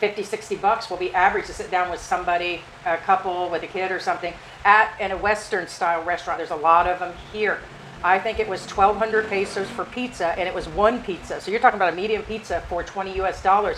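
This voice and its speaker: Over noticeable background noise, a woman talks at a very fast pace with a medium pitch and fairly even intonation. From United States. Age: 50s. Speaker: expat living in the Philippines. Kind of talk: casual talk to camera, vlog discussion.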